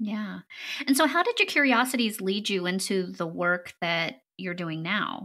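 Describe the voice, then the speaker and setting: This woman's medium-pitched voice has a warm, enthusiastic tone that is also bright and sharp. She speaks at a fairly slow pace with lively intonation. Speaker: podcast host. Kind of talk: interview.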